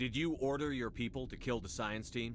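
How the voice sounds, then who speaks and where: A man puts on a character voice at a medium pitch. He moves at a fairly quick pace over clear background noise. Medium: video game. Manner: direct, firm.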